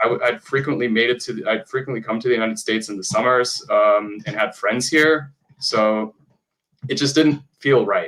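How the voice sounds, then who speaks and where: This man speaks with a German accent at a medium pitch. His pace is moderate and his intonation fairly even. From Germany. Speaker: opera singer and voice actor. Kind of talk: podcast interview. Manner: halting.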